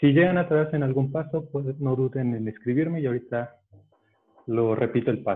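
Fairly quick in pace, this man has a plain, everyday voice. His pitch is fairly high, with ordinary pitch variation. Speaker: origami teacher. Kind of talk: tutorial. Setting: video call.

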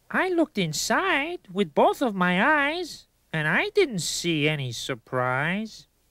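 A cartoonish character voice with a fairly high pitch comes through on a very clean recording with a silent background. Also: fairly slow pace. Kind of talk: rhyming children's educational video. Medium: puppet. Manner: exasperated, rhyming.

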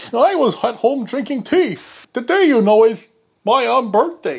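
Extremely high in pitch, a man talks at a moderate pace with lively intonation. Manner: breezy, unconcerned.

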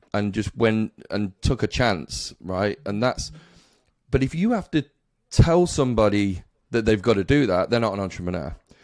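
A man speaks at a moderate pace in an unremarkable speaking voice with a fairly low pitch. The sound is dry with no echo, over a quiet background. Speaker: podcast host. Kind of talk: interview question. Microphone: studio mic.

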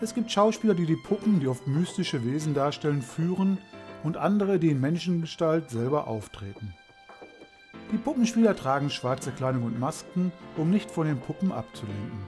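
Music in the background behind a man's fairly high voice, moderate in pace, with very wide pitch swings. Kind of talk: travel documentary narration.

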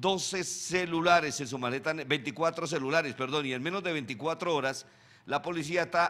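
At a fairly slow pace, the voice has a bright, sharp tone and ordinary pitch variation. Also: man. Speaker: show host. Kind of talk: prayer then news commentary. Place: studio. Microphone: studio mic.

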